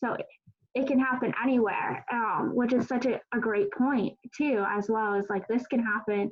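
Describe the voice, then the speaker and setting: A woman speaks in a normal speaking voice with a General American accent, her pitch fairly high and her intonation ordinary in its variation. Her loudness stays very even, and she moves at a moderate pace. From Colorado. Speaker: panel moderator. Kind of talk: panel discussion.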